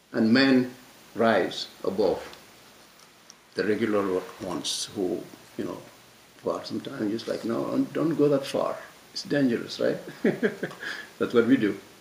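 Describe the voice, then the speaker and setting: Man speaking at a moderate pace with long, frequent pauses amid noticeable background noise. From Mauritania, West Africa. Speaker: French teacher, discussion speaker. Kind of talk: panel discussion talk. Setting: public library talk with audience. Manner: halting, many repetitions and fillers; passionate.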